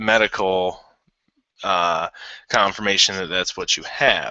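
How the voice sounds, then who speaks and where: Intonation is kept fairly even. The delivery moves fairly slowly. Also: man. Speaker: vlogger with chronic illness. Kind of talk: casual vlog talk. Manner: halting.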